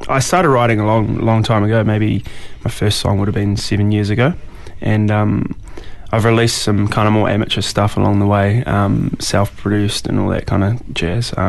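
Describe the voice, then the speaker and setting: A man with a New Zealand accent and fairly low pitch, at a moderate pace with fairly even intonation and very even loudness, amid audible room echo and noticeable background noise. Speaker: musician. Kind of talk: casual interview. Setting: radio studio. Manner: halting, many fillers.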